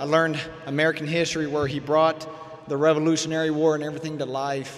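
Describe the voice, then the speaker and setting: Amid noticeable background noise, a man with a fairly high pitch speaks at a fairly quick pace. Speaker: emergency management director, award recipient. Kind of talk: commencement speech. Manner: fast.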